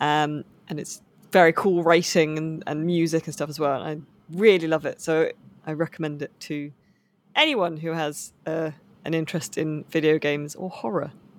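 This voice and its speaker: In an English accent, a woman speaks at a moderate pace with a very deep, low pitch, monotone, flat intonation and big swings in loudness, on a very clean recording with a silent background. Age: 30s. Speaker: novelist and video games journalist. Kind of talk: casual interview chat.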